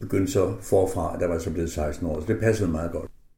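The tone is dark and mellow, somewhat breathy, with ordinary pitch variation. Room echo is audible. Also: man. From northern Jutland, Denmark. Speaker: concert pianist. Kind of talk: radio interview. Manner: hesitant with fillers.

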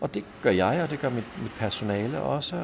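With very wide swings in pitch, a man talks in a medium-pitched voice. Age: 50s. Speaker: pastor and manager of a drop-in centre. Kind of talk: interview. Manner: halting, with frequent repeated words.

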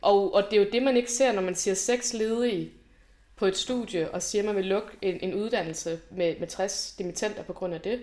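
A dark, mellow female voice at medium pitch, moderate in pace, with ordinary pitch variation. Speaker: university graduate, student activist. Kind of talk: conversational interview.

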